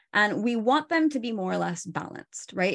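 Against a quiet background, a woman talks with a Pacific Northwest accent. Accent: American (Pacific Northwest). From Oregon, US. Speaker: stress and burnout coach. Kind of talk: interview.

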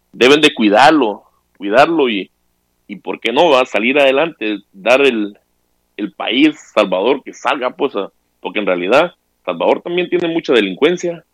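A man's lively intonation at a fairly slow pace, with big swings in loudness. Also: dry, close sound with no echo. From Honduras. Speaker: caller. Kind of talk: casual chat.

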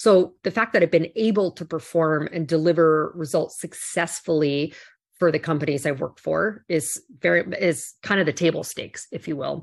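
Speaking at a moderate pace against a quiet background, a woman uses a fairly low pitch with ordinary pitch variation. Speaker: corporate executive and keynote speaker. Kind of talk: interview. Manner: confident.

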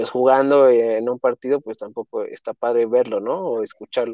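With a Mexico City accent, a man speaks at a medium pitch against a quiet background, the sound dry and close with no echo. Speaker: football podcast co-host. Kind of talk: casual interview chat.

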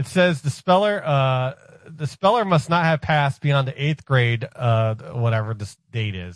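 Fairly high-pitched, somewhat breathy man with lively intonation at a fairly slow pace, in a dry, close sound with no echo. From Ohio. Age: 40s. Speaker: radio show staffer. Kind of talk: casual chat.

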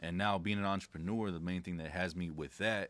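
Recorded very cleanly against a silent background, a man speaks with a very deep, low pitch. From Southern California. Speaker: entrepreneur and consumer law specialist. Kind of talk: casual chat.

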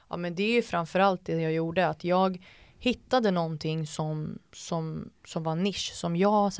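Over a silent background in a very clean recording, a woman with an unremarkable speaking voice talks at a moderate pace, her pitch fairly low and her intonation fairly even. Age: 20s. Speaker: entrepreneur and TikTok creator. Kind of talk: casual chat.

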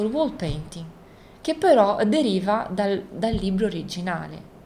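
In a room with audible echo, a woman of medium pitch speaks at a moderate pace, her voice making very wide pitch swings. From born in Isola del Liri, Italy; raised in Rio de Janeiro, Brazil from age 10 to 20. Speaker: visual artist. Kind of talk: interview in her studio. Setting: artist's studio. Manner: halting, many repetitions and fillers.

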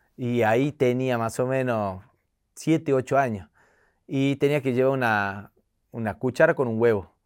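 Pitched at a medium level, a man speaks at a fairly slow pace with ordinary pitch variation and long, frequent pauses, in a very clean recording with a silent background. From Tucumán, Argentina. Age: 40s. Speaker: comedian. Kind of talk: casual interview. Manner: animated.

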